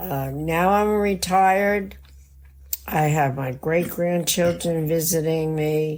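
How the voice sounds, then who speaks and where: The voice has an American accent and ordinary pitch variation, with audible room echo. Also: woman. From New Jersey. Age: 80s+. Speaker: retired hospice nurse. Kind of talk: interview storytelling. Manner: halting.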